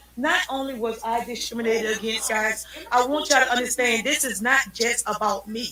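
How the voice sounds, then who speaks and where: A loud, high-pitched woman with fairly even intonation over noticeable background noise. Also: fairly quick pace. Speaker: citizen journalist livestreamer. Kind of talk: livestream talk.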